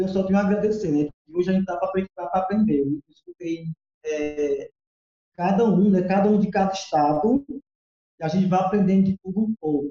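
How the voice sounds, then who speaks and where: The man's voice is high in pitch yet dark and mellow in tone. He speaks at a moderate pace, with a dry, close sound and no echo. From Ceará, Brazil. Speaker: festival costume designer. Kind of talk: casual chat.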